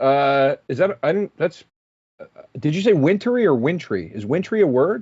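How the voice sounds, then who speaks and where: This man talks with a Philadelphia accent at a moderate pace. His pitch is fairly high, and it makes very wide swings. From Philadelphia area, Pennsylvania. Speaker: comedian. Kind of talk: casual chat. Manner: halting.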